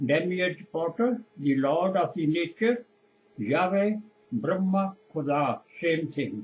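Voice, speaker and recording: A man with a Punjabi accent, high-pitched, at a very slow pace, with lively intonation and very even loudness. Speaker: preacher. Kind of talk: sermon.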